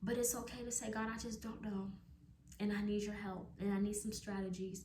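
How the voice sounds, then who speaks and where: A woman's somewhat breathy, dark, mellow tone at medium pitch, monotone and flat, at a fairly quick pace with audible room echo. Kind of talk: devotional talk to camera.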